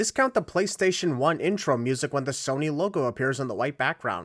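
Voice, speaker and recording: In a plain, everyday voice, a man talks at a fairly quick pace with lively intonation, the sound dry and close with no echo on a very clean recording with a silent background. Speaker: YouTube commentator. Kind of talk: comedic video critique narration. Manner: sarcastic.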